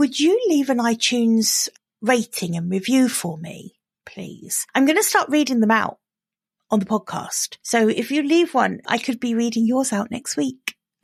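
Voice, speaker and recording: A woman with an English accent and a fairly high voice speaks at a moderate pace in a very clean, dry, close recording with a silent background and no echo. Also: lively intonation. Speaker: business coach podcaster. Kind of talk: solo podcast monologue. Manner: casual, chatty.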